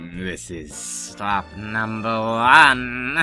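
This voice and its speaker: Put-on character voice pitched low. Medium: audio drama. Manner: sneering, scheming.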